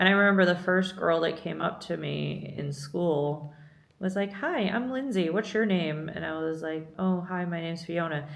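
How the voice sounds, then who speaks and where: In an American accent, a woman talks with a fairly low pitch. Noticeable background noise and audible room echo surround her voice. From Scotland, moved to the US as a young child. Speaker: vlogger, visual artist. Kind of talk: casual chat.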